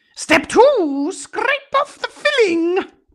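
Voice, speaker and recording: Playful and squeaky, this put-on character voice sits at an extremely high pitch with very wide pitch swings. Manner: silly, playful.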